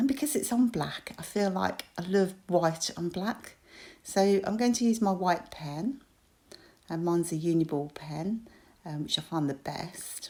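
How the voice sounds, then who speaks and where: A woman with a British accent has a dark, mellow tone and lively intonation. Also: medium pitch for a woman. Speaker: crafter. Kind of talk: tutorial. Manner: hesitant with fillers.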